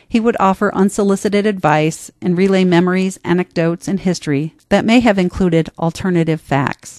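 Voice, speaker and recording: A woman with an American accent talks at a fairly quick pace in a normal speaking voice, at medium pitch with ordinary pitch variation, over a quiet background. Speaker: essayist and podcast host. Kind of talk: reading aloud personal essay. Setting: studio.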